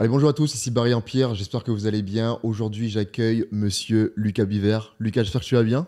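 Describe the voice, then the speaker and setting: Here a man speaks at a very fast pace with a dark, mellow tone and fairly even intonation. The recording is very clean, the background silent. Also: medium pitch for a man. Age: 30s. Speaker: podcast host, entrepreneur. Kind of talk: casual podcast interview. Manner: hesitant, many fillers.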